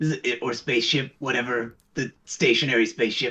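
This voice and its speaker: A put-on character voice from a man, raspy and medium-pitched, at a moderate pace with fairly even intonation. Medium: actual play. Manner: rambling, casual.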